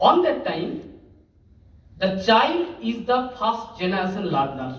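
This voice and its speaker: A man speaks at a very slow pace, his pitch swinging very widely. The room echo is audible. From India, West Bengal (Asansol, rural). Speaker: teacher. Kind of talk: conference talk. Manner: halting.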